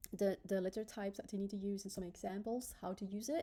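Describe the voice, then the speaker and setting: A woman with a non-native accent, her dark, mellow tone paired with fairly even intonation. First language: not English. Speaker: graphic designer. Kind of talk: tutorial. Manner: hesitant, many filler ums.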